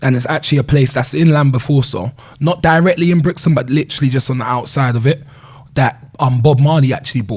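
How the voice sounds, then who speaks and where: Speaking at a very fast pace, a man with a Caribbean accent has a fairly high pitch, ordinary pitch variation and a somewhat breathy sound. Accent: Caribbean twang. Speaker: community leader, former gang leader. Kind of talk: interview conversation. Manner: casual, filler-heavy speech.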